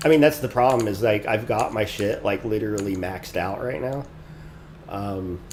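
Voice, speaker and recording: Noticeable noise in the background behind a man's voice of medium pitch. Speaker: game developer streamer. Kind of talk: casual live coding stream. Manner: soft-spoken. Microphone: too quiet, mic volume maxed.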